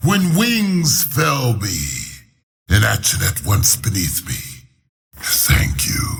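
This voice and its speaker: A man puts on a character voice at a medium pitch. He speaks at a very slow pace. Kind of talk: epic fantasy game voice. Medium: video game. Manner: grandiose, archaic phrasing.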